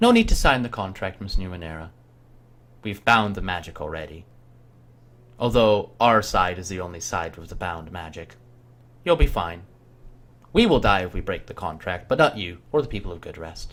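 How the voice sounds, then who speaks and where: Putting on a gruff character voice, a man speaks at a moderate pace with a very deep, low pitch and long, frequent pauses. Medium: actual play. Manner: formal, measured.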